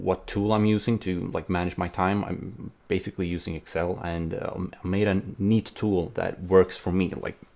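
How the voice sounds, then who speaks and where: The speaker has a non-native accent and a moderate pace. Intonation stays monotone and flat. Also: man. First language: not English. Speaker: indie game developer vlogger. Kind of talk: casual vlog. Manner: hesitant, many fillers.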